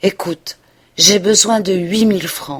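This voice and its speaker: Using a put-on character voice, a woman talks at a medium pitch and a fairly slow pace with fairly even intonation. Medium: read story. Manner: urgent, intense.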